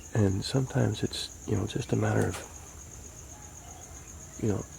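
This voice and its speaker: Against noticeable background noise, a man whispers at a moderate pace. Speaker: home fitness vlogger. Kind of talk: casual talk to camera. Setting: outdoors. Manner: whispered.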